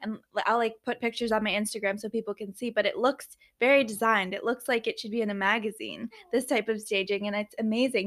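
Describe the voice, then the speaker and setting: On a very clean recording with a silent background, a woman with a fairly high pitch speaks fairly quickly in a plain, everyday voice. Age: 20s. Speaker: podcast host. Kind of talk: casual interview. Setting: in person in a warehouse.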